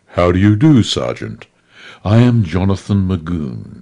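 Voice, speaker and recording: In a put-on character voice, a man speaks with a very deep, low pitch at a moderate pace. His pitch swings very widely. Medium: read story. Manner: genteel, courtly.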